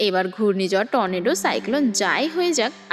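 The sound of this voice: The clip features an unforced reading voice.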